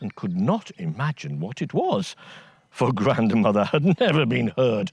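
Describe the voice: This clip is plain reading aloud.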